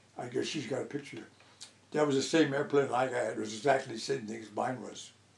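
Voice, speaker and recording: Room echo is audible as a man talks very fast, his loudness swinging widely. His pitch is medium and his intonation fairly even. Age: 90s. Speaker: elderly pilot interviewee. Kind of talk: oral history interview. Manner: halting.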